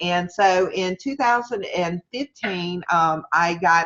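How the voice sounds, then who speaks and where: This is a woman speaking. She has a Southern US accent. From US South, Mississippi. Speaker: online marketing coach. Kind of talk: webinar lecture. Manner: casual, hesitant with fillers; straightforward.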